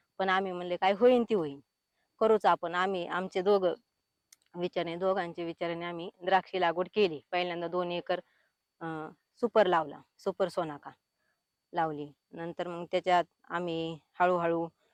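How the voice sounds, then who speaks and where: The voice carries fairly even intonation in a dry, close sound with no echo. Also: woman. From Maharashtra, Pune district. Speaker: farmer. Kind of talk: testimony.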